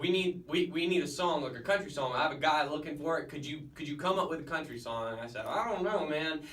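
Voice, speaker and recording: Speaking with a strong Southern US accent, a man with a fairly high pitch talks very fast, with hardly any pauses and ordinary pitch variation. Noticeable background noise and audible room echo are present. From Florida, Gainesville. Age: young. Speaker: singer-songwriter. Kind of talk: radio interview. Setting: radio studio. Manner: halting.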